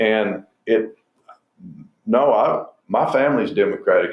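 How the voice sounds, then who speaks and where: This is a man talking. He has a Southwestern US accent. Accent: rural southwestern US. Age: 70s. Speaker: state senator and rancher. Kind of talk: interview.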